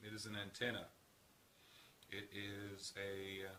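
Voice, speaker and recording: A man speaks with a fairly low pitch. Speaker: healthcare professional. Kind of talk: casual talk to camera.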